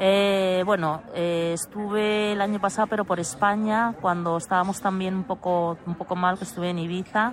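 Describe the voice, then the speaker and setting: A woman speaks at medium pitch with fairly even intonation and hardly any pauses. Her pace is moderate over a quiet background. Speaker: traveller. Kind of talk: casual chat. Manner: halting.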